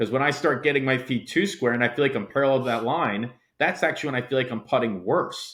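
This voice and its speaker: A medium-pitched man talking at a very fast pace, with ordinary pitch variation. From Delaware, US. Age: young. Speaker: golf coach. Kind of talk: podcast interview. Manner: loud.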